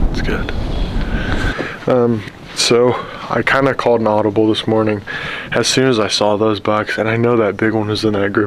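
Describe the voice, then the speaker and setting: Over noticeable background noise, a man talks at a fairly quick pace. His medium-pitched voice is monotone and flat. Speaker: bowhunter vlogger. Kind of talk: outdoor hunting vlog. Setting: outdoors in a tree stand. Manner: casual, conversational.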